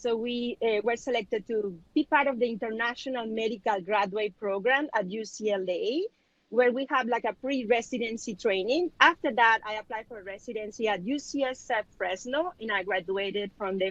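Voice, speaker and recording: A woman with a Spanish accent, a fairly high pitch, ordinary pitch variation, and a dry, close sound with no echo. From Mexico (Culiacan, Sinaloa). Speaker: physician and business owner. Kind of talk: panel discussion.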